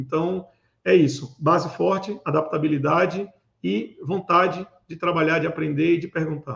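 A man with a fairly high pitch talks with vocal fry and ordinary pitch variation. His loudness swings widely. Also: moderate pace. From Recife, Pernambuco, Brazil. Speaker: cybersecurity manager and event organizer. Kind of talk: interview. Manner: hesitant with fillers.

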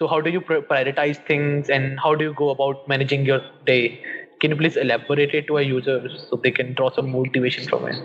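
Fairly quick, monotone delivery from a man with an Indian accent and fairly high pitch, over noticeable background noise. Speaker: podcast host. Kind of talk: interview.

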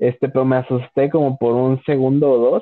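An ordinary speaking voice from a man, medium in pitch and at a moderate pace. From Mexico, León, Guanajuato. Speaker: podcast host. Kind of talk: casual chat.

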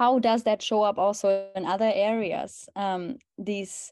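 A woman speaks at a medium pitch with a German accent and a dark, mellow tone. The sound is dry and close with no echo and a quiet background. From Germany. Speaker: holistic health coach. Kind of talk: interview conversation.

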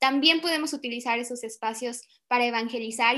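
Delivered at a moderate pace, the voice has a bright, sharp tone and fairly even intonation. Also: woman. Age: 20s. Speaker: podcast co-host, community worker. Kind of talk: casual chat.

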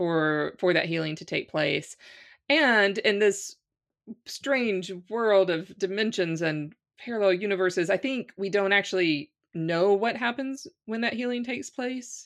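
With an American accent, an unremarkable speaking voice talks at a fairly slow pace with lively intonation against a quiet background. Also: woman, medium pitch for a woman. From US South, Louisiana. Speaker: spiritual teacher and coach. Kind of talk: casual interview conversation.

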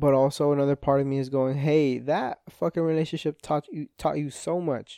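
A man with a Spanish accent, a fairly high pitch and a dark, mellow tone, fairly even intonation and hardly any pauses, in a dry, close sound with no echo over a quiet background. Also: moderate pace. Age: 20s. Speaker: podcast host. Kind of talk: casual monologue. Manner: rambling, stumbling over words.

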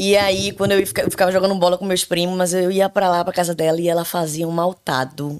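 The speaker goes at a very fast pace with hardly any pauses. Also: woman, fairly low pitch for a woman, fairly even intonation. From Brazil, Recife (Pernambuco). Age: 30s. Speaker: podcast guest. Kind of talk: casual chat. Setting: home bathroom studio.

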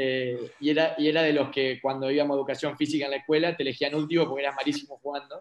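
A man talks at a very fast pace with hardly any pauses. His intonation is monotone and flat. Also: fairly high pitch for a man. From Argentina, Paraná (Entre Ríos). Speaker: local politician. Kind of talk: interview.

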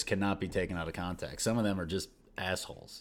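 A man's voice with fairly low pitch. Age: 40s. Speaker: podcast co-host, business owner. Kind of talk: casual chat. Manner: halting, frequent restarts.

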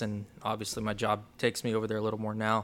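A man with an American accent talks at a very fast pace and a medium pitch. The recording is very clean, with a silent background. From Oklahoma and the Philippines. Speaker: basketball coach and charity director. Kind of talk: interview.

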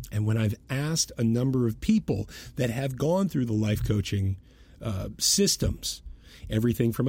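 A man with an American accent speaks at a medium pitch and a moderate pace, with ordinary pitch variation. His tone is dark, mellow and somewhat breathy on a very clean recording with a silent background. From US Northeast (Boston). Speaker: podcast host, brand messaging strategist. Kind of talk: solo monologue commentary.

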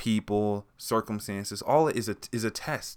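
Quiet and fairly low-pitched, a man with an American accent talks at a moderate pace in a very clean recording with a silent background. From US West Coast. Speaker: podcast host. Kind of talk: motivational monologue. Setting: recorded late at night. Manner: quiet, low-volume.

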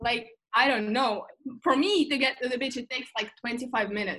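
Speaking with a Russian accent, a woman talks at a fairly quick pace, with high pitch and ordinary pitch variation. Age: 20s. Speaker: guest. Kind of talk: casual chat. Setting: video call.

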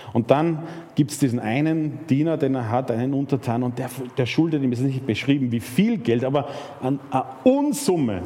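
An animated man at a medium pitch, with ordinary pitch variation, at a moderate pace amid noticeable background noise. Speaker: preacher. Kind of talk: sermon. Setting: church. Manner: animated, storytelling with rhetorical questions and emphasis; conversational, with fillers and repetitions.

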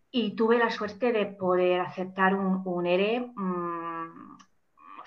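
Here a woman speaks at a medium pitch. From England, Manchester. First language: English (speaking Spanish). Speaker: life and career coach. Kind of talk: interview. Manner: halting, many repeated words.

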